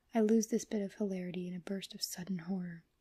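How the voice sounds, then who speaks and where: A soft-spoken man with a dark, mellow tone talks at a moderate pace in a dry, close sound with no echo. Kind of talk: horror story reading.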